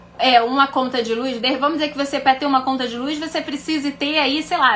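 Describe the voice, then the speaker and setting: Through noticeable background noise, a woman with a high pitch and ordinary pitch variation speaks at a fairly quick pace. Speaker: financial educator and mentor. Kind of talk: live stream teaching.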